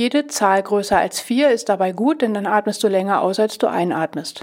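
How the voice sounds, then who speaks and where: A woman's medium-pitched voice at a moderate pace, a plain, everyday voice. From southern Lower Saxony, Germany. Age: 50s. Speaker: stress coach and podcast host. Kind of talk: podcast monologue; guided breathing exercise.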